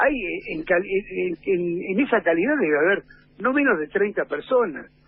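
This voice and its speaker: Speaking fairly slowly, the man has a high-pitched voice. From Argentina. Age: 60s. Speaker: sports journalist. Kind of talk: radio interview. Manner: animated.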